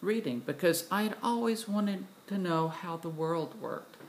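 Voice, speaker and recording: Speaking at a fairly slow pace, a woman with a Southern US accent uses a fairly low pitch and lively intonation. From US South, Tennessee. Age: 60s. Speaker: vlogger, retired doctor. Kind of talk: personal video monologue. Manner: halting, many fillers.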